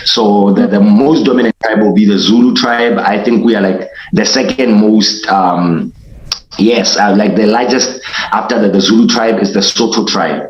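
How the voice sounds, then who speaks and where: A man at a fairly low pitch, with very even loudness and fairly even intonation, plus noticeable background noise and audible room echo. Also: moderate pace. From Lesotho. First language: Sesotho. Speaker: hip hop artist. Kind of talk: interview. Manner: halting.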